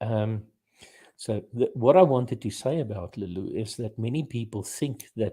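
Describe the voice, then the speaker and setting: Speaking at a moderate pace with an Afrikaans South African accent, a man with a medium-pitched, dark, mellow and somewhat breathy voice shows ordinary pitch variation in a very clean recording with a silent background. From South Africa, Afrikaans. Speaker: podcast host. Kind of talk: casual chat.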